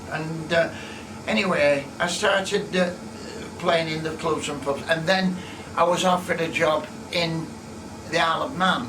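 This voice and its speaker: A man with a Lancashire accent speaks at a moderate pace and a high pitch, with ordinary pitch variation and long, frequent pauses. Noticeable background noise and audible room echo fill the recording. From northern England, Rossendale, Lancashire. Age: 80s+. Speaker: organist. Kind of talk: personal reminiscence to camera. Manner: halting.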